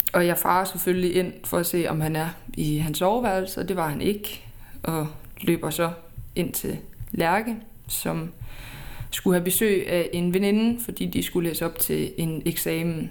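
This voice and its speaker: Fairly low in pitch, a woman speaks at a fairly slow pace with fairly even intonation and long, frequent pauses. Audible room echo surrounds her voice. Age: 20s. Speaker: podcast host. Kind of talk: personal storytelling.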